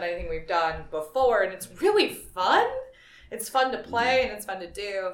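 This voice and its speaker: This woman has an unremarkable speaking voice, with ordinary pitch variation and a moderate pace. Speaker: band singer. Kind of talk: casual band interview chat.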